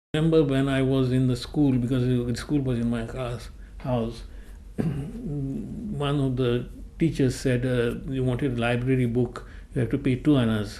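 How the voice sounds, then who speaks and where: A man's medium-pitched voice at a moderate pace, with fairly even intonation and audible room echo. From Goa, India. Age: 80s+. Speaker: oral history interviewee. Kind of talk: oral history testimony.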